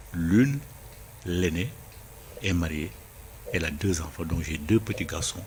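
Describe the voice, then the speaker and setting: A man with a very deep, low pitch, speaking fairly slowly with long, frequent pauses, against noticeable background noise. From Senegal. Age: 70s. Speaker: writer. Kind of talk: interview.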